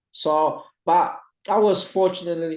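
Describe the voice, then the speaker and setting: A man speaks with a Brazilian Portuguese accent. The background is quiet. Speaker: retired professional footballer. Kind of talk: interview conversation. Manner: halting, many fillers and repetitions.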